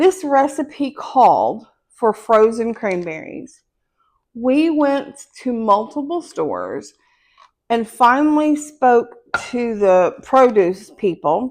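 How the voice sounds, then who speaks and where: A woman with a Southern US accent speaks at a very slow pace. Her high pitch moves in very wide swings. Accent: Southern country. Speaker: home cooking channel host. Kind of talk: cooking tutorial; casual storytelling.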